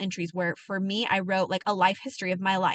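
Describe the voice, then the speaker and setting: A woman speaks at a fairly quick pace in a bright, sharp tone against a quiet background. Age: adult. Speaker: wellness coach. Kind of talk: motivational talk. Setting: in a parked truck. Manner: fast; animated.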